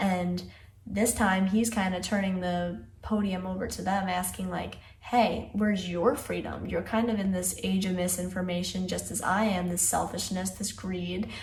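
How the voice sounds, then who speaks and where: Speech at a moderate pace comes in a monotone, flat intonation, with audible room echo and noticeable background noise. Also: woman, medium pitch for a woman. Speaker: music video reaction youtuber. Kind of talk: video analysis commentary. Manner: casual, conversational.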